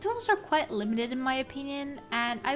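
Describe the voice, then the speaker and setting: Amid noticeable background noise, a woman talks at a moderate pace in a high voice that swings very widely in pitch. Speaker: illustrator. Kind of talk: art process voice-over narration.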